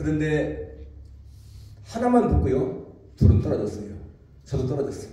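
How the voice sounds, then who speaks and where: A man speaks at a moderate pace, leaving long, frequent pauses. Noticeable background noise and audible room echo fill the recording. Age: 70s. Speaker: pastor. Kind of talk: sermon.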